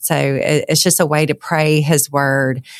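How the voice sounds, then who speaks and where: Speaking fairly slowly with a Southern US accent, a woman with a very deep, low pitch comes through in a dry, close sound with no echo. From Louisiana. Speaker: author. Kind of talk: interview.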